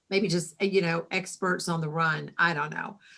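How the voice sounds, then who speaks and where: A woman with an American accent. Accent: Southern, a little thicker lately. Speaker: writing organization president and novelist. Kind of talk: casual video interview.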